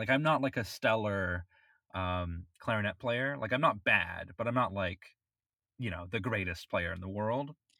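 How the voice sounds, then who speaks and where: In a very clean recording with a silent background, a man with an American accent speaks at medium pitch and a fairly slow pace, his tone bright and sharp and his intonation lively. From Florida. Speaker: podcast co-host and amateur musician (saxophone, clarinet). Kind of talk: casual chat.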